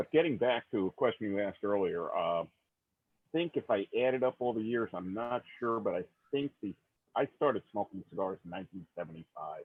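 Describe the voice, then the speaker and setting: A man talks at a fairly quick pace with a medium pitch. He has an unremarkable speaking voice. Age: 60s. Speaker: cigar hobbyist. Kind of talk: casual chat.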